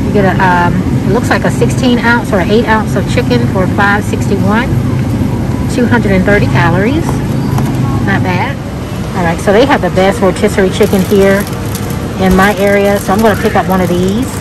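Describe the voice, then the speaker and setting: The speech moves at a moderate pace with long, frequent pauses, the sound dry with no echo and the background noise loud. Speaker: shopping vlogger. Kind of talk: casual vlog chat. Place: shop. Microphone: phone near.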